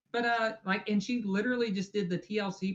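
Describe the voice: A woman talks at a fast pace. Her pitch sits in the medium range.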